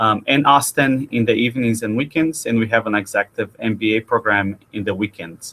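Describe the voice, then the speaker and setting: Hardly pausing, a man with a slight Brazilian accent talks at a medium pitch with ordinary pitch variation. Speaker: university admissions director. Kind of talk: webinar interview. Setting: online webinar.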